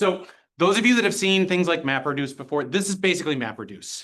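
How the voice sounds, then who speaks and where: This man speaks with lively intonation. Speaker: workshop instructor. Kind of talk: live coding tutorial.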